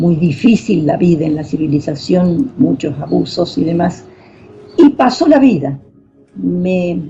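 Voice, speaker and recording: Fairly slow speech with very wide pitch swings. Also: woman. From northern Argentina (Formosa). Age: 80s+. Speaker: poet. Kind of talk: radio interview. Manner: halting.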